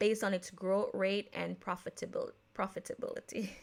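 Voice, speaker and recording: Recorded very cleanly against a silent background, a woman with an American accent speaks at a medium pitch. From Jamaica. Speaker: podcast host. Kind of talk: casual podcast talk. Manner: casual, with many fillers and self-corrections.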